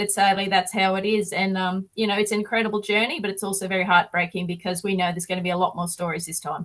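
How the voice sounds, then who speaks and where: Very fast with hardly any pauses, a woman with an Australian accent talks at a medium pitch in a monotone, flat intonation. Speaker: activist touring on a bus. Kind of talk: interview on a video call.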